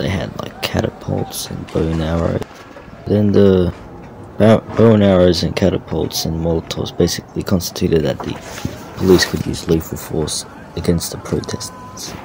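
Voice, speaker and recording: Noticeable background noise sits behind a man with a very deep, low voice. He talks at a moderate pace with ordinary pitch variation. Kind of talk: casual news commentary voice-over.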